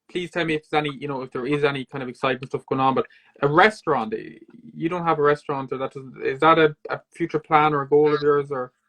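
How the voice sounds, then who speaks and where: Talking at a very fast pace, a man with a fairly high pitch and an Irish accent keeps his intonation fairly even. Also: dry, close sound with no echo. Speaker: podcast host. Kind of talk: interview. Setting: video call.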